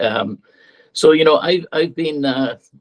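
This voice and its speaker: A man speaks with an Irish accent. The sound is dry and close, with no echo. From Ireland. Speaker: political candidate. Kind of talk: campaign speech.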